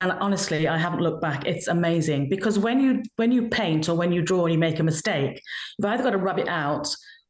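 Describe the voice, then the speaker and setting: A woman with fairly low pitch talks at a very fast pace, with ordinary pitch variation and very even loudness. Noticeable background noise and audible room echo are present. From England, army family. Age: 60s. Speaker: children's author and illustrator. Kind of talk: interview. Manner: animated.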